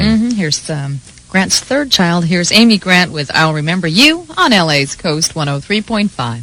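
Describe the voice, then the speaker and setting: Pitch swings very widely in this moderately paced voice with an American accent, over noticeable background noise. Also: woman, fairly low pitch for a woman. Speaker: morning radio co-host. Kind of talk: morning radio show banter.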